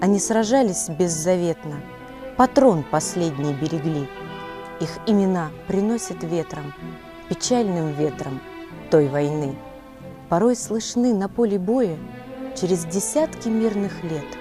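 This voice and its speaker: A woman with a fairly low pitch speaks at a very slow pace with lively intonation and long, frequent pauses while music plays in the background. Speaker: TV presenter. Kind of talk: poetry reading.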